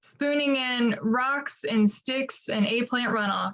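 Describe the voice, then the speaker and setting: A woman's pitch moves with ordinary variation. Her pace is very slow. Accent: American. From Appalachian Ohio, Ross County. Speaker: poet. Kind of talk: poetry reading.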